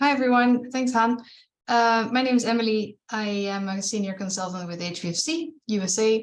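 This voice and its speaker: A woman speaks at a moderate pace with a Dutch accent. Her fairly high pitch shows ordinary variation. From Netherlands. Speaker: fundraising consultant. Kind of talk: webinar presentation.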